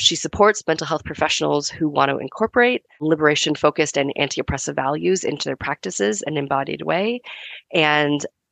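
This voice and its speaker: A woman talks at a very fast pace in a very deep, low pitch, with vocal fry and lively intonation. The sound is dry and close with no echo, over a quiet background. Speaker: podcast host and money coach. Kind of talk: interview conversation.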